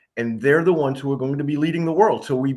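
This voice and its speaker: A man talks in a normal speaking voice with an American accent. His pitch is fairly high, with ordinary pitch variation. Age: 60s. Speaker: state senator. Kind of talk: interview.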